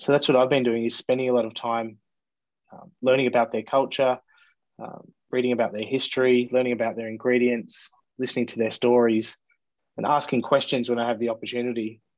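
Speaking fairly quickly with an Australian accent, a man keeps a medium pitch and a flat, monotone delivery. His loudness swings widely. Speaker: bartender. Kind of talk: casual chat. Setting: video call.

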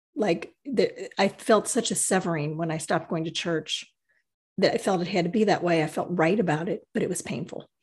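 Against a quiet background, a woman with a fairly low pitch and a somewhat breathy voice talks at a fairly quick pace with ordinary pitch variation. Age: 50s. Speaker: podcast co-host, writer and energy healer. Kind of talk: casual conversation.

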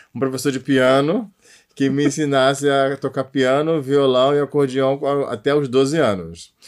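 This man speaks at a fairly slow pace with a fairly high pitch. His loudness stays very even while his pitch varies in an ordinary way. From Rio de Janeiro (Realengo). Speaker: singer-songwriter. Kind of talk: interview.

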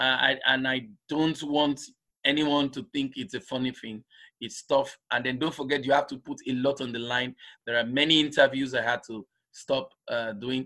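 A man with a bright, sharp tone speaks at a medium pitch, his intonation fairly even. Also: moderate pace. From Nigeria (grew up in Lagos, Igbo). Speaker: doctor and climate activist. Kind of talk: interview conversation.

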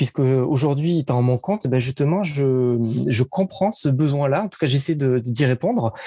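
A man with a fairly high voice and a dark, mellow tone speaks at a moderate pace with lively intonation. The sound is dry and close with no echo, against a quiet background. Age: 30s. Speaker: digital marketing consultant. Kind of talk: interview.

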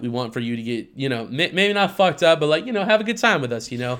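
A man speaks in an animated tone at a very fast pace, his voice fairly high and swinging very widely in pitch. He barely pauses at all. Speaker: podcast host. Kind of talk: casual chat while drinking. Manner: animated, casual, profane.

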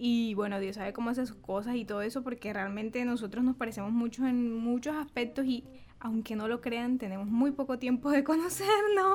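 Speech comes at a fairly quick pace with hardly any pauses and ordinary pitch variation, over noticeable background noise. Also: woman, high pitch for a woman. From Caribbean Colombia, Bolívar. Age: 30s. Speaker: podcast co-host, journalist. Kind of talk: casual chat.

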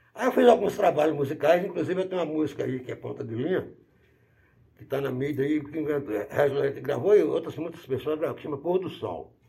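A man speaks at a fairly high pitch with a dark, mellow tone and vocal fry. His loudness swings widely. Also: ordinary pitch variation, fairly quick pace. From Bahia, Brazil. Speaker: musician and model aircraft hobbyist. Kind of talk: interview. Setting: at his home.

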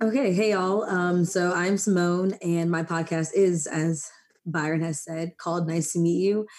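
A woman with an American accent has a normal speaking voice at a fairly low pitch. She talks at a moderate pace with fairly even intonation. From Maryland, US. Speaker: podcast host. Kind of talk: casual chat.

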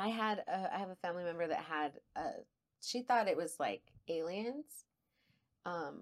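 With an El Paso accent, a woman speaks at a fairly low pitch with lively intonation in a very clean recording with a silent background. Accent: El Paso Texan. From El Paso, Texas. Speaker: podcast co-host. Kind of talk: casual chat.

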